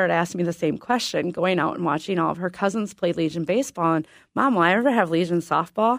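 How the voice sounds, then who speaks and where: Over a silent background in a very clean recording, a woman speaks very fast at a medium pitch with ordinary pitch variation. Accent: American. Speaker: youth softball organizer. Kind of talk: radio interview.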